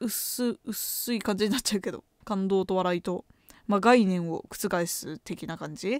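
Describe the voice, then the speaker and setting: In a dry sound with no echo, a woman talks with lively intonation. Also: quiet background. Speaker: graduate student and podcaster; podcaster. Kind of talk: casual chat. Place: home room. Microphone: studio mic.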